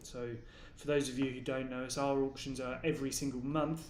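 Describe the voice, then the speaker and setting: Fairly quick male speech at a medium pitch, delivered in a monotone, flat way. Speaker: auctioneer and watch specialist. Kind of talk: casual talk to camera, live watch viewing presentation. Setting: online live stream. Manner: conversational, relaxed, with frequent filler words.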